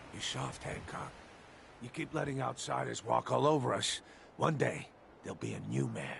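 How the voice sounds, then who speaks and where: A man's raspy, put-on character voice, fairly low in pitch with very wide pitch swings, a moderate pace broken by long, frequent pauses, and clear background noise. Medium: video game. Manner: sneering, menacing.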